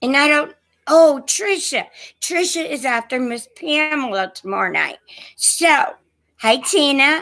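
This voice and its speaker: Raising and projecting her high voice, a woman speaks at a fairly slow pace with lively intonation. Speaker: online antiques seller. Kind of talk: live stream chat. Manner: shaky voice; hesitant, many fillers.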